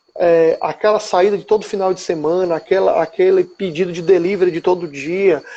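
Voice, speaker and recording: A man talks at a high pitch with fairly even intonation and hardly any pauses. Noticeable background noise can be heard. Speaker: financial planning speaker. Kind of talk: live stream talk. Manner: fast. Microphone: unstable internet connection.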